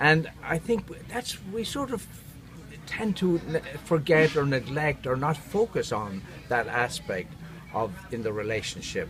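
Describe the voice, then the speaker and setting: Over music in the background, a man with an Irish accent speaks at a fairly slow pace with long, frequent pauses, his fairly high pitch making very wide swings. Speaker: neurotherapist. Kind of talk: interview. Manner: warm and engaging; halting.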